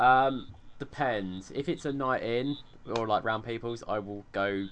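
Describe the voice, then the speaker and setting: Lively intonation in a medium-pitched male voice. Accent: southern English. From England. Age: 20s. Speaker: podcast co-host. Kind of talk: casual chat.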